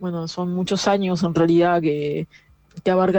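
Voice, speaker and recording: A woman speaks with a dark, mellow tone. Her pitch sits fairly low. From Argentina, Buenos Aires area (San Isidro). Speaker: film director and audiovisual researcher. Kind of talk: pre-recorded audio message, interview answers.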